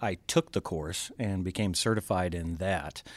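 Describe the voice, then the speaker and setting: Recorded very cleanly with a silent background and a dry, close sound with no echo, a man with a plain, everyday voice speaks at a moderate pace and fairly low pitch with ordinary pitch variation. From US South, Georgia. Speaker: pyrotechnics company president. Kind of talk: casual interview. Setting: studio, in person.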